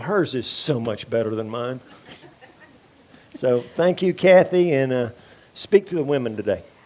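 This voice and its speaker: A man's fairly high voice with lively intonation, long and frequent pauses, and noticeable background noise. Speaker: ministry class teacher. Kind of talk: teaching class. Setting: live class with small audience.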